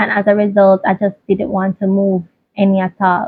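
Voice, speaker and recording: Somewhat breathy, a woman speaks at a fairly slow pace and a medium pitch. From Jamaica. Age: 20s. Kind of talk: casual personal talk to camera.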